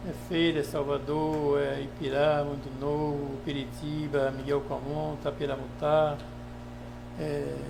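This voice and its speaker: With music in the background and audible room echo, a man speaks at a very slow pace. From Bahia, Brazil (Baixa Grande). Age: 70s. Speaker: surgeon and local politician. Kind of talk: podcast interview.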